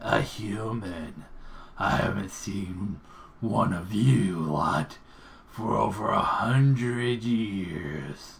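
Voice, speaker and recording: Putting on a gravelly character voice, a man speaks at a very slow pace and fairly low pitch over clear background noise. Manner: surprised, curious.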